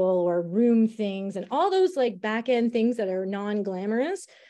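In a Canadian accent, a woman with a medium pitch and a dark, mellow tone speaks over a quiet background. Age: 50s. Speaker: school administrator. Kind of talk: interview conversation. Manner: hesitant, many fillers.

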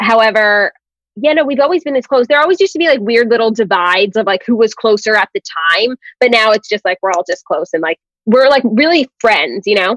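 An unremarkable speaking voice from a woman with an American accent, fairly high in pitch, fairly quick, with lively intonation and a dry, close sound with no echo. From New York City. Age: 20s. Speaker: podcaster. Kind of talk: casual chat.

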